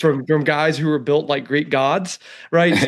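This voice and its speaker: In a Southern US accent, a man with a fairly high pitch speaks in an animated tone. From Alabama, US South. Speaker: economist. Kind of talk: podcast interview.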